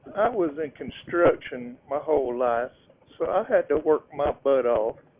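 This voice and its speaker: A man with a fairly high voice uses lively intonation at a fairly slow pace, amid noticeable background noise. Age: old. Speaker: motorcycle vlogger. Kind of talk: casual vlog narration while riding.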